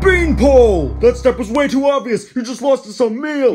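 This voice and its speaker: A man's put-on character voice at an extremely high pitch and a moderate pace, over clear music in the background. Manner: angry, scolding.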